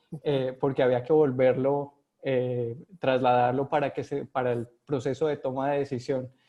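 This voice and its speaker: A man with a Colombian accent speaks at a fairly high pitch. His intonation is monotone and flat, and his pace is moderate. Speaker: epidemiologist, vaccine research director. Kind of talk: video call interview. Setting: video call from home. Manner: halting, many fillers.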